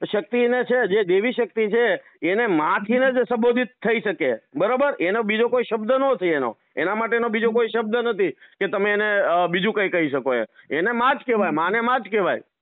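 The man's voice sits high. Its pitch moves in an ordinary way. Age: 30s. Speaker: social media creator. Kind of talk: heated debate.

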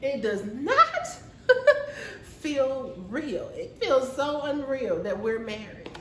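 In a put-on character voice with a fairly bright tone, a man talks at a very slow pace, extremely high for a man, with big pitch swings and audible room echo.

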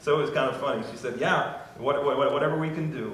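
A man's fairly bright tone in strong room echo

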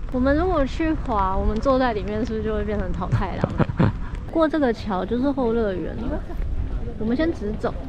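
There is noticeable background noise and a dry sound with no echo. A woman speaks at a moderate pace. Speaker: travel vlogger. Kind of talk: casual vlog chat. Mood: cheerful, curious. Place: street. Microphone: phone near.

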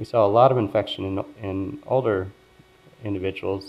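A man with an American accent, an ordinary speaking voice, a fairly low pitch and fairly even intonation. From US Northeast, Philadelphia. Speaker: epidemiology professor. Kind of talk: lecture. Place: hall. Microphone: podium.

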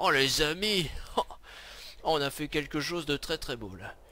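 Very slowly, a man speaks with vocal fry and very wide pitch swings. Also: long, frequent pauses. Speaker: gaming video creator. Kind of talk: let's play commentary. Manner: animated. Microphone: new headset mic, being tested.

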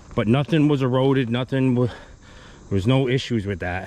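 A man speaks at a fairly slow pace. The sound is dry, with no echo. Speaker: excavation contractor. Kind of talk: casual vlog chat. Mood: relaxed, satisfied. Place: open country. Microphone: phone near.

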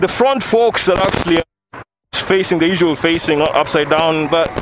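A man speaks at a moderate pace with ordinary pitch variation. The sound is dry with no echo, with noticeable background noise. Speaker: moto vlogger reviewing a bike. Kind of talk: casual ride commentary. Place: motorbike. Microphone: helmet.

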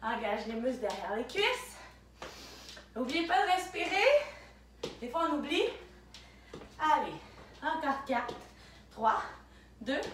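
A woman speaks in a high voice at a fairly slow pace. Audible room echo and light background noise surround her. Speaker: fitness instructor. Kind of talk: workout instruction. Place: home room. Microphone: camera far.

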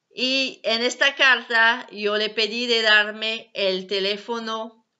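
Over a quiet background, a woman with a fairly high pitch speaks very slowly, her intonation fairly even. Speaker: ex-Jehovah's Witness video blogger. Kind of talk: personal testimony vlog. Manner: halting, non-native phrasing. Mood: earnest, calm. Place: home room. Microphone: webcam.

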